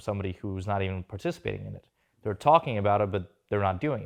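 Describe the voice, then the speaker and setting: The speaker has a slight Russian accent. The pace is very fast. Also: man. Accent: slight Russian accent with New York English. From Russia, moved to New York at 13. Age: 20s. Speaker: entrepreneur and stock trader. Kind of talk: casual interview.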